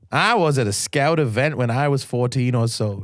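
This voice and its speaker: A man puts on a strained character voice at medium pitch, speaking at a moderate pace with very even loudness on a very clean recording with a silent background. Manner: strained, unnatural accent.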